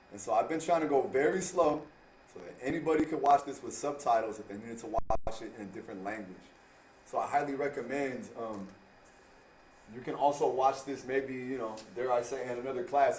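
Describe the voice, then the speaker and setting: Audible room echo surrounds a man of medium pitch who speaks at a fairly quick pace with ordinary pitch variation and big swings in loudness. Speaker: math teacher. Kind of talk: tutorial.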